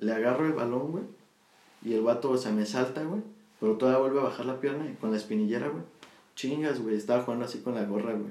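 Racing at a very fast pace with ordinary pitch variation, a man speaks over noticeable background noise. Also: medium pitch for a man. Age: 20s. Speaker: podcast co-host. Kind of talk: casual chat.

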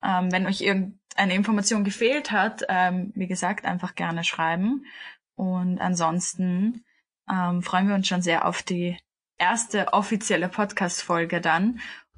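Somewhat breathy, a woman speaks at a fairly slow pace against a quiet background. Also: medium pitch for a woman, fairly even intonation. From Austria, Vienna. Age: 20s. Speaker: podcast co-host, yoga teacher. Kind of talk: casual chat.

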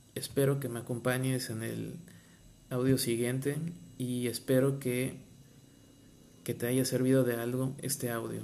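Amid audible room echo, a man with a medium pitch and a dark, mellow tone speaks at a fairly slow pace in a monotone, flat intonation, leaving long, frequent pauses. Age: 30s. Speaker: marine biologist and podcaster. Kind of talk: personal testimony and motivational talk. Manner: hesitant, with fillers and repetitions.

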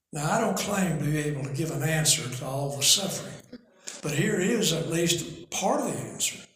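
With audible room echo, a man speaks at a fairly high pitch and moderate pace, using ordinary pitch variation. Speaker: preacher and author. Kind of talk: bible teaching. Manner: reading from notes.

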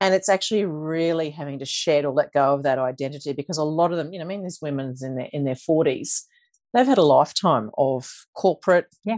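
A woman with an Australian accent speaks at a fairly quick pace in a very deep, low pitch, her loudness swinging widely and her pitch varying normally against a quiet background. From Queensland, Australia (Toowoomba). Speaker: financial coach. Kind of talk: interview.

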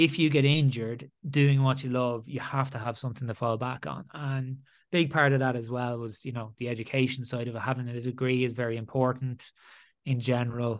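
A man with an Irish accent and fairly even intonation, against a quiet background. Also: medium pitch for a man, fairly quick pace. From Ireland. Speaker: former rugby player turned entrepreneur. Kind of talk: interview.

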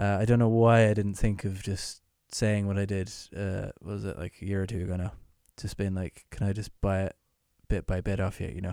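A man with an Irish accent, fairly low pitch, dark and mellow tone, fairly even intonation, and fairly quick pace, on a very clean recording with a silent background. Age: 20s. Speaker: musician. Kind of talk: casual chat.

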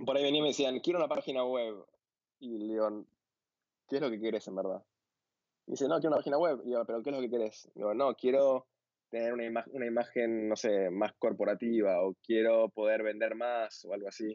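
Talking fairly quickly, a man has an unremarkable speaking voice at medium pitch with ordinary pitch variation. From Argentina, Buenos Aires. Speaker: visual developer and designer. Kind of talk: casual interview.

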